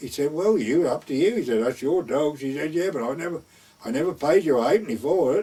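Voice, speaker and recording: With an East Anglian accent, a man speaks against noticeable background noise. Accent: rural East Anglian dialect. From North Essex/West Suffolk border, England. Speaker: gamekeeper; war veteran. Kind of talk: oral history storytelling. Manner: conversational, lively dialogue.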